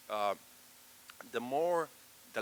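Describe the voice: With a bright, sharp tone, a man is talking.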